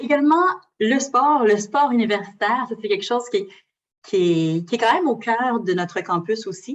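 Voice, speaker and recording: A woman's fairly high, lively voice with long, frequent pauses. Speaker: university recruitment representative. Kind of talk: presentation to students. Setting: lecture hall with audience. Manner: fast.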